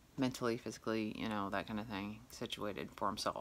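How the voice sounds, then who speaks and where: A woman's voice, moderate in pace. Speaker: vlogger with a medical condition. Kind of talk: personal vlog. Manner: halting. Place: home room. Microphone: phone near.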